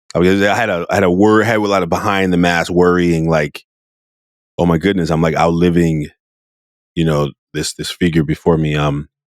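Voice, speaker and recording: A man with a West Coast American accent and a very deep, low pitch, talking at a fairly quick pace with fairly even intonation and long, frequent pauses. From US, Oakland California. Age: 40s. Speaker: podcast host. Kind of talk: podcast interview.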